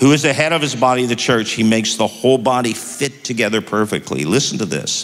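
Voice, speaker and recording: A man talks in an animated, warm tone. Noticeable background noise is present. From Toronto, Canada. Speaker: pastor and podcast host. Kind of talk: sermon-style Bible teaching. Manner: animated, warm, conversational.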